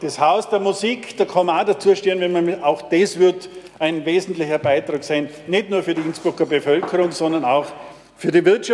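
The delivery moves at a moderate pace. Intonation stays fairly even. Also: man. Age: old. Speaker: city councillor, committee chair. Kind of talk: council debate speech.

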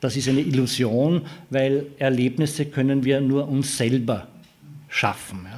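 With audible room echo, a man talks at a fairly slow pace, his medium pitch holding fairly even intonation. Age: 60s. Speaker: futures researcher. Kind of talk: lecture.

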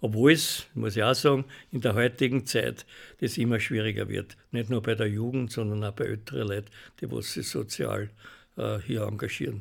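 Vocal fry runs through this voice at a moderate pace. Pitch variation is ordinary. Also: man, fairly low pitch for a man. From Austria, Weinviertel (Hollabrunn). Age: 70s. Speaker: charity club leader, retired manager. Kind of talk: radio interview.

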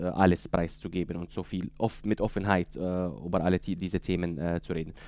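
In an Arabic accent, a man with a very deep, low pitch talks at a fairly quick pace. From Syria, Deir ez-Zor. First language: Arabic (speaking German). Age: 30s. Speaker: author. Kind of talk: interview. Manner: halting.

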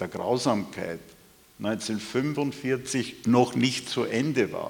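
A man talks at a medium pitch. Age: 70s. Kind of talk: panel discussion.

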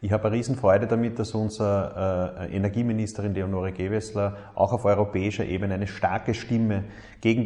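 Music plays in the background as a man with a fairly low pitch speaks at a fairly quick pace with fairly even intonation. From Upper Austria, Mühlviertel. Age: 30s. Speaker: politician, state minister. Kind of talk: recorded statement.

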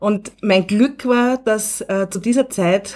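In a normal speaking voice, a woman talks at a medium pitch with ordinary pitch variation. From Upper Austria. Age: 40s. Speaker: teacher educator. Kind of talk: radio interview.

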